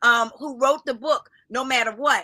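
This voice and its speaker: A raised, projected voice with an American accent, bright and sharp in tone, animated, with ordinary pitch variation. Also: woman. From US Northeast, Philadelphia. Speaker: minister and life coach. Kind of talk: podcast interview. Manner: loud.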